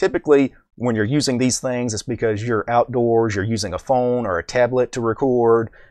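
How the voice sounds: A man talks at a fairly quick pace, his tone slightly mellow.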